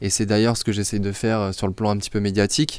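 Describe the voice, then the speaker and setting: A man with a fairly low pitch talks at a very fast pace. The recording is very clean with a silent background. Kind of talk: discussion show. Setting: studio.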